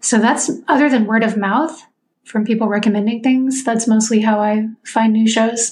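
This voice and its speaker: At a moderate pace, a woman speaks with a fairly high, somewhat breathy voice, fairly even intonation and very even loudness. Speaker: lawyer, semi-retired. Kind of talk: casual chat.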